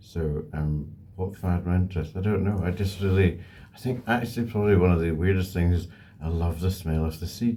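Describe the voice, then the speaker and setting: A man speaks at a fairly quick pace with an Edinburgh accent. His pitch is very deep and low, and his intonation stays fairly even. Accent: Scottish (Edinburgh). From Scotland, Edinburgh. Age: 60s. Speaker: bird breeder. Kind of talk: interview answers. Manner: hesitant, many ums.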